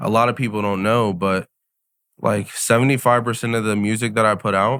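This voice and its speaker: Fairly quick and monotone, a man delivers his words at a fairly low pitch with flat intonation. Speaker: rapper. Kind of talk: casual chat.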